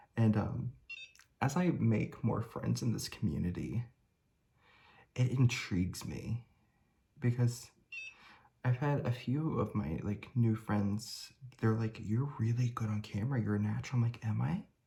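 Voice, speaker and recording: Speaking at a fairly slow pace with long, frequent pauses, a man uses a medium pitch, ordinary pitch variation and a dark, mellow, somewhat breathy tone. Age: 30s. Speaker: beauty vlogger. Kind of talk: casual chat. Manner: hesitant, many fillers.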